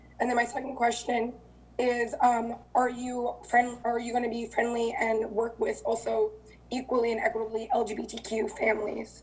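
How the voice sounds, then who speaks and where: There is audible room echo as a woman speaks at a moderate pace. Her pitch is fairly high, with ordinary variation. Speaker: city council member. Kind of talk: council meeting questions.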